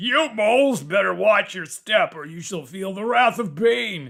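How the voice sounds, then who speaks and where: A man speaks in a put-on character voice. His pitch is high. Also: moderate pace. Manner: threatening, abusive.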